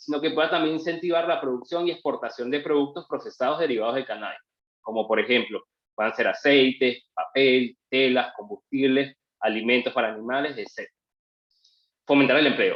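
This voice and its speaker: A man's unremarkable speaking voice, fairly high in pitch, at a fairly quick pace. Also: ordinary pitch variation. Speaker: lawyer. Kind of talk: webinar presentation.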